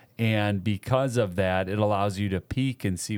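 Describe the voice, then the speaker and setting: An ordinary speaking voice moves at a fairly slow pace with ordinary pitch variation. The recording is very clean, with a silent background. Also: man. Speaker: podcast co-host. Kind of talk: casual chat. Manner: joking.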